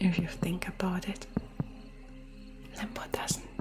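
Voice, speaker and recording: Whispering at a fairly slow pace, a woman speaks over music in the background. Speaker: virtual streamer, ASMR creator. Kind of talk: live stream chat with viewers, ASMR personal attention.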